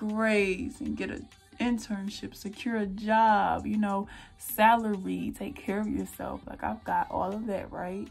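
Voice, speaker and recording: A woman with an American accent at a fairly slow pace, music in the background. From North Carolina, US South. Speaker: beauty vlogger. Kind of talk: casual chat. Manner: animated.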